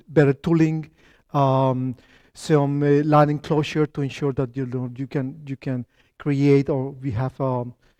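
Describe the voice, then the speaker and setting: Against a quiet background, a man with a Spanish accent speaks in a fairly high pitch with a dark, mellow tone and monotone, flat intonation, the sound dry and close with no echo. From Colombia. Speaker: company founder and tech lead giving a talk. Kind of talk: lecture. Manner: halting, many fillers and restarts.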